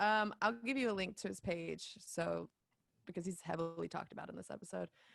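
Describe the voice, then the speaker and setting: With a Southern US accent, the speaker talks at a fairly quick pace, the pitch swinging very widely, in a dry, close sound with no echo. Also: woman. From US South, Dawsonville, Georgia. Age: 20s. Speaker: podcaster and event director. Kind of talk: casual chat. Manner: animated.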